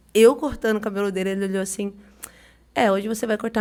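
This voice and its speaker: A woman's medium-pitched voice in a São Paulo accent, with fairly even intonation. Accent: São Paulo (paulista). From São Paulo, Brazil. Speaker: barber. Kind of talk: podcast interview. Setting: studio.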